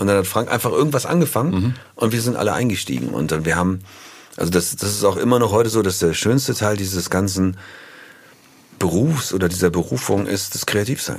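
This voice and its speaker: A man's fairly low voice, an ordinary speaking voice, fairly quick and with lively intonation. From northern Germany, near Hanover. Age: 50s. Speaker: musician. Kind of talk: casual interview.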